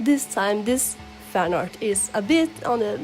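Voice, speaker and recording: Music plays in the background as a woman speaks at a fairly slow pace. Her pitch is fairly high, with ordinary variation. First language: not English. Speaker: digital artist. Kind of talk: casual commentary over speedpaint.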